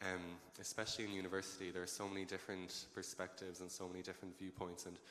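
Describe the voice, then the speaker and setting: This man talks at a very fast pace in a very deep, low voice with a monotone, flat intonation. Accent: western Irish. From Ireland, Galway. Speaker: medical student, panelist. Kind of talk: panel discussion.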